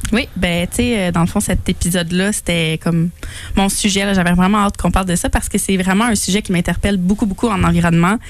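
Over noticeable background noise, a woman with a medium pitch talks at a very fast pace with fairly even intonation. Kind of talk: casual chat.

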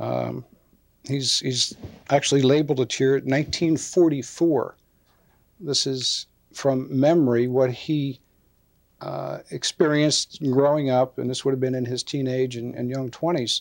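A normal speaking voice with an American accent moves at a fairly slow pace with fairly even intonation. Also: man, medium pitch for a man. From Upper Merion Township, Pennsylvania, near Philadelphia. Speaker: police captain, Navy veteran. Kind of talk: oral history interview, recalling memories. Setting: studio.

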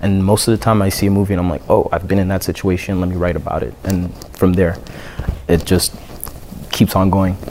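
A man with a very deep, low pitch talks at a fairly quick pace broken by long, frequent pauses, in monotone, flat intonation over noticeable background noise. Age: 20s. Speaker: rapper. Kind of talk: casual chat.

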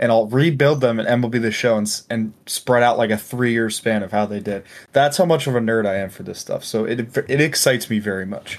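In a plain, everyday voice, a man speaks at a medium pitch and a fairly quick pace with ordinary pitch variation and hardly any pauses. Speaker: sports podcast host. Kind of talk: casual chat. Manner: laughs often.

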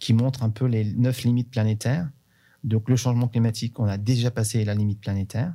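A dark, mellow tone with fairly even intonation comes through on a very clean recording with a silent background. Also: man. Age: 50s. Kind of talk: interview.

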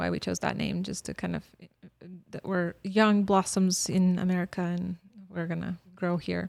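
A woman talks at a moderate pace in a Bosnian accent. The sound is dry and close, with no echo. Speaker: former refugee and university staff member. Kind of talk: interview. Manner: animated.

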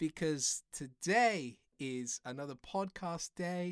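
On a very clean recording with a silent background and a dry, close sound with no echo, a woman talks in an animated tone with very wide pitch swings. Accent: English. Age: 30s. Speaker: podcast host. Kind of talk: podcast intro. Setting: home kitchen.

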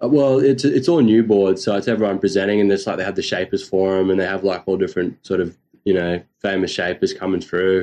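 Talking at a very fast pace, a man uses a dark, mellow tone with ordinary pitch variation. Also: fairly low pitch for a man. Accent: Australian. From North Queensland, Australia. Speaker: surf podcast host. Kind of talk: casual chat.

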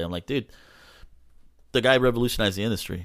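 A man with a Southern California accent is heard on a very clean recording with a silent background. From Los Angeles (Echo Park). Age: 40s. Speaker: hot rod shop owner and metal fabricator. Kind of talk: casual chat.

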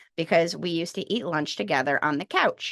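A woman's fairly low voice comes through in a dry, close sound with no echo. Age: 30s. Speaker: special education teacher and podcast co-host. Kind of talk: casual chat.

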